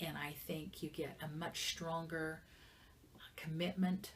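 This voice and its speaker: A somewhat breathy woman speaks at a fairly slow pace. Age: 60s. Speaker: business manager and entrepreneur. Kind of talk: interview. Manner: halting.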